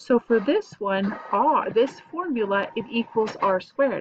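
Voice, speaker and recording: Very wide pitch swings with an American accent. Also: woman. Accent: southern US, comes out at times. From US South. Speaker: math teacher. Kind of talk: tutorial. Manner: casual, chatty. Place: home room. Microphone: webcam.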